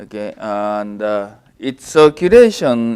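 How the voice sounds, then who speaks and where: A man speaks with a Japanese accent at a medium pitch. The recording is very clean with a silent background. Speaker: finance professor. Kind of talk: academic seminar talk. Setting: lunch seminar with student audience. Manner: halting, many fillers and restarts.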